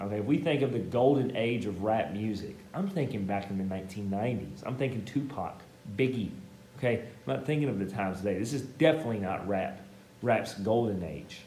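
A man with lively intonation at a fairly quick pace, with light background noise and audible room echo. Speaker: teacher. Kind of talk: lecture. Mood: playful, joking. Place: classroom. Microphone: camera far.

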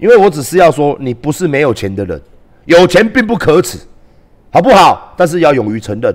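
A man talks at a fairly quick pace in a fairly high voice with vocal fry and very wide pitch swings. The background is quiet. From Taiwan. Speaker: live streamer and political commentator; live streamer, political commentator. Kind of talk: livestream rant. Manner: animated. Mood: indignant, combative. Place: home room. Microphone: headset.

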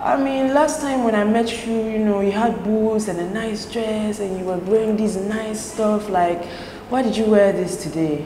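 A woman with a fairly high pitch and ordinary pitch variation speaks at a moderate pace while noticeable background noise carries on behind her. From Texas. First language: French. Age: 20s. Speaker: content creator. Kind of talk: casual chat. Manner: animated.

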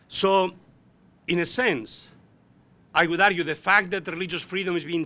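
A man's bright, sharp voice at a fairly quick pace, in a Spanish accent. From Spain. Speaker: professor. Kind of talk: panel discussion. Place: meeting room. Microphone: podium.

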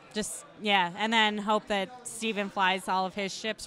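A woman speaks in an ordinary speaking voice at a medium pitch. Her pace is fairly slow and her intonation fairly even. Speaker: esports commentator. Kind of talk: live sports-style commentary. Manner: relaxed, engaged, conversational play-by-play.

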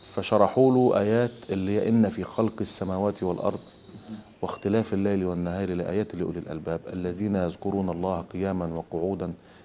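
A man speaks with a very deep, low pitch and a dark, mellow tone, his intonation fairly even over light background noise. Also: moderate pace. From Egypt. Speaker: Quran reciter; interviewee. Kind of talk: interview. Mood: calm, reflective. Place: home room.

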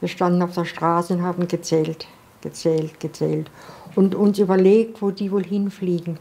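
A woman speaks in a flat monotone at a fairly low pitch and moderate pace. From Freiburg, southern Baden, Germany. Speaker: World War II eyewitness. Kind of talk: interview answer. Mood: earnest, recalling painful memories. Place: home room.

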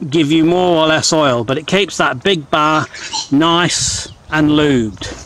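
Over light background noise, a man talks very slowly with ordinary pitch variation in a dry sound with no echo. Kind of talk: tutorial walkthrough. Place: open country. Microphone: phone near.

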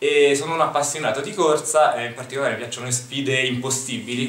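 A man talks at a fairly quick pace with fairly even intonation, and audible room echo surrounds his voice. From Rome, Italy; Italy. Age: 30s. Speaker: political candidate; election candidate. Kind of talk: candidate self-presentation; self-introduction to camera. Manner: hesitant, with filler sounds. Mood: friendly, calm. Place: studio.

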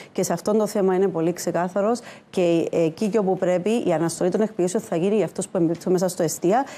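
Speech comes at a very fast pace from a woman. Her tone is dark and mellow, and her intonation fairly even. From Cyprus. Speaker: economist; politician guest on news show. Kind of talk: TV panel debate. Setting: TV studio. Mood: firm, argumentative. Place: studio. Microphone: lapel.

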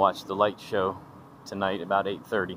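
At a moderate pace, a man speaks at a fairly low pitch in a dry sound with no echo, with light background noise. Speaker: travel vlogger. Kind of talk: casual vlog chat. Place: street. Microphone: phone near.

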